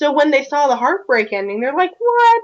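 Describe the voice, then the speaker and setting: In a Southern US accent, a woman talks at a fairly quick pace. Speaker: video podcast co-host, fan discussant. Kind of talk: casual discussion.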